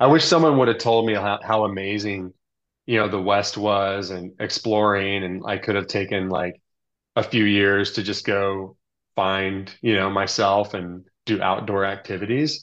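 A man with an American accent speaks in a plain, everyday voice at a moderate pace, his fairly low pitch and fairly even intonation set against a quiet background. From Texas suburbs. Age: 40s. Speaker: ultra cyclist. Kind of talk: casual chat. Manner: casual, filler-heavy.

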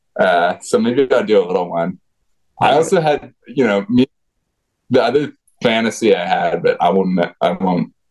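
Speaking at a moderate pace with very even loudness, a man with an American accent leaves long, frequent pauses. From rural Vermont, US. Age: 30s. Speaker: former pro freeskier, now researcher. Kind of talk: casual interview chat.

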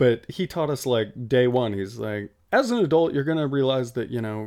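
Here is a man with an American accent and a plain, everyday voice, pitched medium, with ordinary pitch variation. He speaks at a moderate pace in a very clean recording with a silent background. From Nevada. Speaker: podcast co-host. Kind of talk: casual chat. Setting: shipping container studio with outdoor noise.

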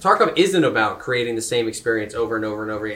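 A man talks at a very fast pace with very wide pitch swings over noticeable background noise. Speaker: podcast host, streamer. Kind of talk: casual group chat. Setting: convention, live recording. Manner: energetic.

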